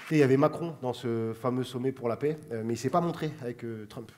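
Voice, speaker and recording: Ordinary pitch variation marks the very fast delivery. Behind it, noticeable background noise persists. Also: man. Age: 30s. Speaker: comedian. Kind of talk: comedy chronicle to camera. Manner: casual, fast.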